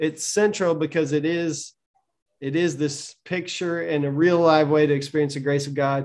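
A man with a plain, everyday voice speaks in an American accent at a moderate pace, his pitch fairly high. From US South. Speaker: pastor.

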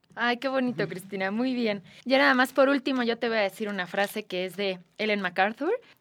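An unremarkable speaking voice from a woman, fairly high in pitch with ordinary variation, at a fairly quick pace with hardly any pauses. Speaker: podcast host. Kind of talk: interview.

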